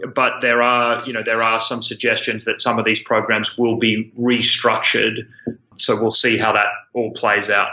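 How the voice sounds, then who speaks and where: A man with an Australian accent speaks at a moderate pace in a medium pitch, his intonation flat and monotone. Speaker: student loan company founder. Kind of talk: interview.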